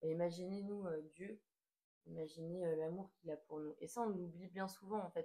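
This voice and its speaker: With fairly even intonation, a woman's voice stays at a medium pitch. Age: 20s. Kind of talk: casual talk to camera. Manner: hesitant, many filler sounds.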